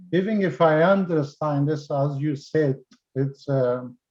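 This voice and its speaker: Talking at a very slow pace with a non-native accent, a man with a fairly high voice uses a dark, mellow tone and ordinary pitch variation. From Afghanistan. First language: not English. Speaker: participant. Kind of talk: Q&A question. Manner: halting.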